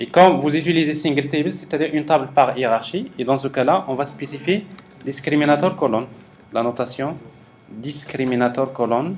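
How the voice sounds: A man talks at a fairly quick pace in a slightly mellow tone. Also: medium pitch for a man, ordinary pitch variation.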